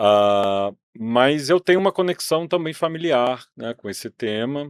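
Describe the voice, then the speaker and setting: A man's medium-pitched voice in a Minas Gerais accent, with lively intonation, a fairly slow pace, and big swings in loudness. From Brazil, Minas Gerais. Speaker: museum director, former journalist and teacher. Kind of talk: interview.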